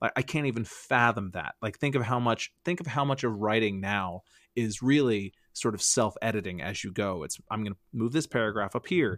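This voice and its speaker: A man talks in a normal speaking voice at medium pitch and a moderate pace. His intonation is lively, and the sound is dry and close with no echo. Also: very clean recording, silent background. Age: 40s. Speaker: comedian. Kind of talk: casual chat.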